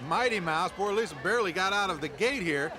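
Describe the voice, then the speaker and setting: Speaking at a fairly quick pace in a raised, projected voice, a man with a high pitch and ordinary pitch variation is heard over noticeable background noise. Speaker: game show color commentator. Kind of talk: sports-style color commentary.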